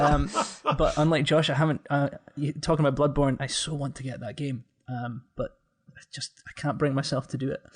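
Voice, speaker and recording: A man talks in a Scottish accent at a moderate pace, his pitch fairly high. His loudness swings a lot, while the pitch varies in an ordinary way. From Scotland, Aberdeen. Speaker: gaming content creator, podcast guest. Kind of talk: casual chat.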